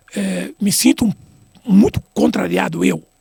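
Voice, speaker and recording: A man talks at a moderate pace, recorded dry and close with no echo. Noticeable background noise sits behind him. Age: 60s. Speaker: retired football referee. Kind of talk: interview. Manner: halting, many repetitions.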